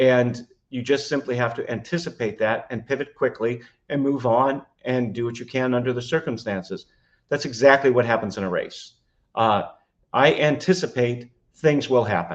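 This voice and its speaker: A man talks in a normal speaking voice at a moderate pace, with medium pitch and ordinary pitch variation. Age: 60s. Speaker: trial attorney and triathlete. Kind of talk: podcast interview. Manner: frequent fillers (uh, um).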